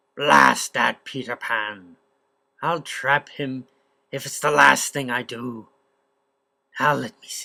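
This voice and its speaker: A man's raspy, put-on character voice at medium pitch, fairly slow, with long, frequent pauses. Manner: blustering, menacing.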